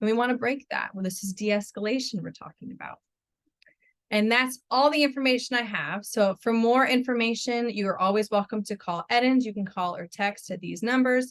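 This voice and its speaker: A woman speaks at a fairly quick pace and a fairly high pitch, with ordinary pitch variation. Her loudness shows big swings. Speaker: marriage and family therapist. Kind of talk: webinar presentation; Q&A answers.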